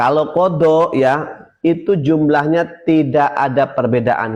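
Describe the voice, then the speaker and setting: A man talking at a very slow pace. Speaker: Islamic religious teacher. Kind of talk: religious lesson on a live stream. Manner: repetitive, explanatory.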